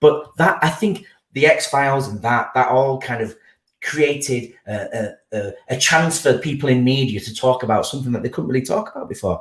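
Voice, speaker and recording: A man speaks at a moderate pace in a fairly high voice that is somewhat breathy, with ordinary pitch variation. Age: 40s. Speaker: podcast guest. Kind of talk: casual chat. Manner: halting.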